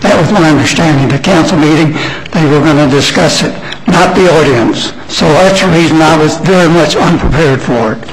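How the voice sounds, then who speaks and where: With audible room echo and noticeable background noise, a man in an American accent talks at a fairly quick pace and keeps his loudness very even. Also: fairly high pitch for a man, ordinary pitch variation. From South Florida. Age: 80s+. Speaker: public commenter. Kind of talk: public comment. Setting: council meeting at a microphone. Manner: halting.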